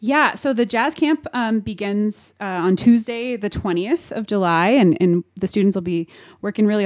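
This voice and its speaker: Recorded dry and close with no echo, a woman with a General American accent has an ordinary speaking voice, medium in pitch, with ordinary pitch variation and a moderate pace. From Denver, Colorado. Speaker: jazz pianist and instructor. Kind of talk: radio interview.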